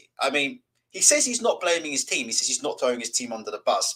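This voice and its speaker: A man talks with a British accent. He moves at a fairly quick pace. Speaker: boxing channel host. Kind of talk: live stream chat.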